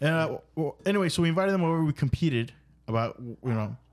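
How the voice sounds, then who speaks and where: A man has an ordinary speaking voice with a fairly high pitch. He talks at a fairly quick pace with lively intonation. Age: 30s. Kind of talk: casual chat. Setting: studio.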